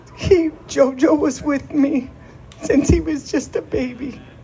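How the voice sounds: A dark, mellow tone with vocal fry moves at a fairly slow pace with fairly even intonation. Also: woman, high pitch for a woman.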